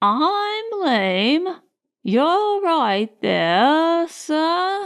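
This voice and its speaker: A woman performs a put-on character voice. Her pitch swings very widely and her pace is very slow. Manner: complaining.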